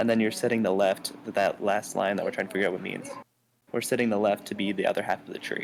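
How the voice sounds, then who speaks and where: A soft-spoken man talks at a very fast pace. His fairly low pitch stays monotone and flat. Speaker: student. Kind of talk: casual chat. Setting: library. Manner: halting.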